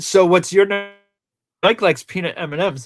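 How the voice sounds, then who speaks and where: A man speaks with a Rhode Island accent. Music plays in the background. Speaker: movie podcast co-host. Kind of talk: casual chat.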